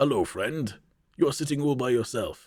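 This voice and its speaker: A man puts on a character voice, pitched fairly high, and speaks at a moderate pace. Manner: warm, friendly.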